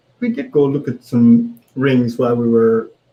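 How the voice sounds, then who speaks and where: A man with a Jamaican accent speaks with lively intonation. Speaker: co-host, husband. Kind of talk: casual live-stream chat. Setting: live social media video. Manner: slow, deliberately paced.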